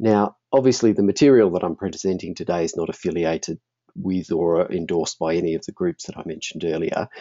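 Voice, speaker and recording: A man with an Australian accent talks at a very fast pace. His very deep, low pitch shows ordinary pitch variation. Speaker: functional neurologist and marketing presenter. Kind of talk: webinar presentation.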